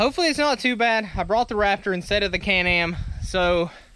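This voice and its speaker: This man talks very fast in a raised, projected voice with a bright, sharp tone. His pitch varies in an ordinary way, and the sound is dry with no echo. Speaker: trail riding vlogger. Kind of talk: casual vlog chat. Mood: upbeat, slightly nervous. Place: open country. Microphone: phone near.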